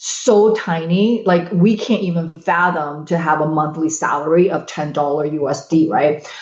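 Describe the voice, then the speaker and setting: Over noticeable background noise, a woman speaks at a moderate pace with ordinary pitch variation and hardly any pauses. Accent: Chinese. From China (Shanghai), moved to US at 13. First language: Chinese. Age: 50s. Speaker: podcast guest. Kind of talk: casual chat. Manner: loud.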